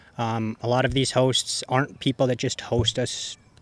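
In an American accent, the speaker talks at a moderate pace with monotone, flat intonation, the sound dry and close with no echo. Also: man. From Colorado. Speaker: professional disc golfer. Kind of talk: casual interview chat.

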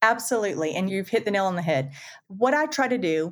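A woman's medium-pitched voice comes through on a very clean recording against a silent background. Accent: Southern US. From US South, Florida panhandle. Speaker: construction 3D printing executive. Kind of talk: casual interview chat.

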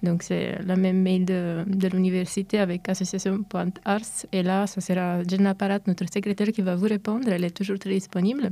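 A woman speaks at a moderate pace with hardly any pauses, her medium pitch set in a dark, mellow tone. Her intonation stays monotone and flat. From Italy. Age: 20s. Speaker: university student, association president. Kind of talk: radio interview. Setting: studio. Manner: hesitant, many fillers.

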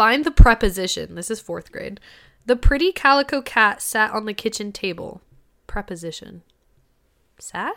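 A woman speaks with a fairly high pitch and a bright, sharp tone. Her intonation is lively. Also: moderate pace. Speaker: podcast co-host. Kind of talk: casual chat.

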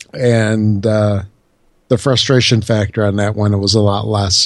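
Fairly low-pitched male speech in an American accent, the intonation fairly even. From Chicago, US Midwest. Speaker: podcast co-host. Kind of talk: casual chat.

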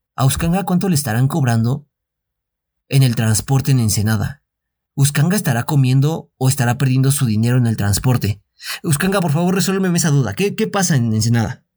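A man's somewhat breathy, dark and mellow voice at medium pitch, fairly quick in pace, with lively intonation. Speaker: podcast co-host. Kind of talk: casual chat.

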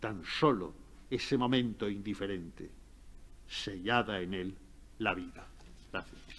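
Fairly low in pitch, a man talks at a fairly slow pace with ordinary pitch variation. He leaves long, frequent pauses. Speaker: professor and literary scholar. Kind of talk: lecture and literary talk.

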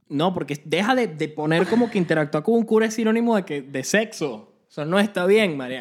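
A man speaks at a fairly quick pace in a high pitch. His tone is animated, with lively intonation. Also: hardly any pauses. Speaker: podcast co-host. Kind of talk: casual chat.

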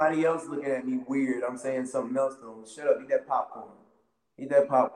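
Speaking very fast with an American accent, the voice shows big swings in loudness. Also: man, fairly high pitch for a man. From US South, Wilmington, North Carolina. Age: 30s. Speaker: professional wrestler. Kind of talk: casual interview. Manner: animated.

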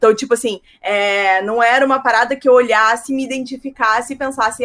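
Lively intonation and a fairly quick pace carry this woman's fairly high voice. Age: 30s. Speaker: writer. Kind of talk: casual chat.

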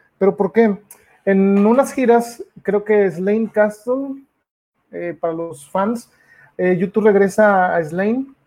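Speaking at a very slow pace, a man talks in a high pitch. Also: ordinary pitch variation. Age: 30s. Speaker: podcast host. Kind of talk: casual live-stream talk about music. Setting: live video stream. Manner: hesitant, many fillers.

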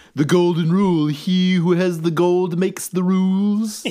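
The speaker uses a put-on character voice. The pitch sits in the middle range. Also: moderate pace.

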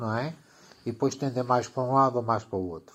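The man's voice sits at a medium pitch. It shows ordinary pitch variation. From Portugal. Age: 50s. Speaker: teacher of electricity and electronics. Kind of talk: explanatory casual chat. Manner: halting, with fillers.

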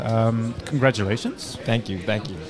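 Music plays in the background as a man with a medium pitch talks at a moderate pace with ordinary pitch variation, with audible room echo. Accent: Dutch. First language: Dutch. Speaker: sports podcast host. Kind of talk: post-game interview. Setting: stadium.

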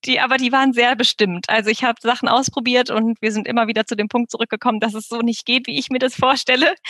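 Delivered at a fairly quick pace in a flat monotone, the speech has a dry, close sound with no echo. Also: woman. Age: 30s. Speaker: debut novelist. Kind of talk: interview.

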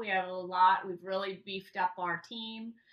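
A woman with an unremarkable speaking voice and medium pitch. She keeps a moderate pace with ordinary pitch variation. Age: 50s. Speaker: real estate company manager. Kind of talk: casual chat.

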